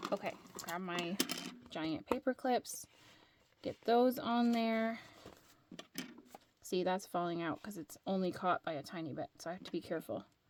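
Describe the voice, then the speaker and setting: A woman speaks at medium pitch and a moderate pace with lively intonation. She leaves long, frequent pauses. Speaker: crafter. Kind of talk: tutorial.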